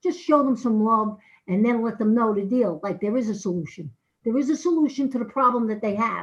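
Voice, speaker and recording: A somewhat breathy woman speaks at a fairly high pitch, with ordinary pitch variation. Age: 60s. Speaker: addiction recovery outreach worker. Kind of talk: public comment at council meeting. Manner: halting.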